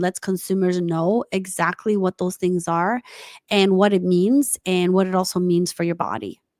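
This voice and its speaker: Recorded dry and close with no echo, a woman with a non-native accent speaks at a moderate pace. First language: not English. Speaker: tech entrepreneur. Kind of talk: interview. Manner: halting.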